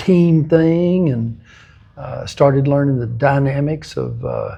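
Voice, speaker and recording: With a West Texas accent, a man speaks at a very slow pace and a fairly high pitch over noticeable background noise. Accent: West Texas drawl. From West Texas (Lamesa, South Plains). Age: 70s. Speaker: football coach and ministry leader. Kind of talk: interview.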